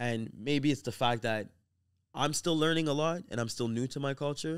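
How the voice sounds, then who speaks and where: Very clean, silent-background recording of a man at a moderate pace, fairly high in pitch with ordinary pitch variation. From Haiti heritage, grew up in US. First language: Haitian Creole. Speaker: podcast co-host. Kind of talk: casual chat. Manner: halting.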